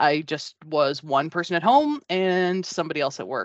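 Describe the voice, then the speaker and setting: A woman with an unremarkable speaking voice, a fairly low pitch and ordinary pitch variation talks at a moderate pace. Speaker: voice actor and risk analyst, former stand-up comedian. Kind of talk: interview answer about career and identity. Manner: warm, conversational.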